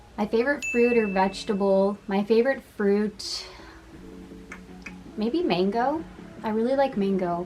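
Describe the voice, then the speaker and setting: The speech moves at a fairly slow pace with long, frequent pauses. Music plays in the background. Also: woman, fairly high pitch for a woman. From Massachusetts, US (Boston area). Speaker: content creator. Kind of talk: casual Q&A vlog. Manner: casual, chatty.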